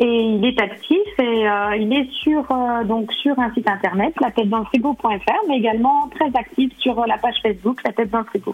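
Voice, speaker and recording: Fairly high female voice at a moderate speed, ordinary pitch variation, noticeable background noise behind. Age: 40s. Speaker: sophrologist and cooking blogger. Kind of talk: radio interview. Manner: hesitant, many fillers.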